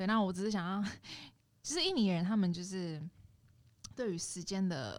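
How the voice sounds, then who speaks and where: A woman of medium pitch talks at a moderate pace with ordinary pitch variation, leaving long, frequent pauses. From Indonesia, Jakarta (ethnic Chinese). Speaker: podcast guest. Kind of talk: casual chat.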